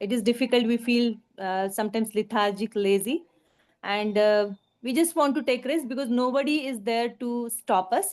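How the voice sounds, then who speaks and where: With an Indian accent, a woman speaks at a moderate pace in a fairly high voice with ordinary pitch variation. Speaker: workshop participant. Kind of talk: casual sharing. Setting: video call. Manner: halting.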